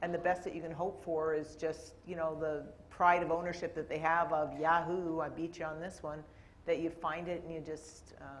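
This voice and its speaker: In a Canadian accent, a woman speaks at a fairly low pitch. Her intonation is monotone and flat, and the room echo is audible. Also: moderate pace. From Canada. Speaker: corporate IT executive on a panel. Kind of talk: panel discussion.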